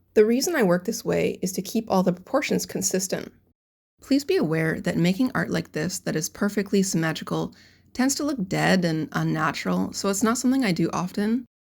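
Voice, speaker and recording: A woman's fairly quick, lively speech with vocal fry, on a very clean recording with a silent background. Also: medium pitch for a woman. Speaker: character designer and animation artist. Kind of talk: tutorial narration.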